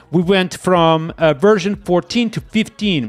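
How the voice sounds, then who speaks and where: A man with a high pitch and a slight Portuguese accent talks with music in the background. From Portugal. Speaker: software developer streamer. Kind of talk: live coding stream. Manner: animated.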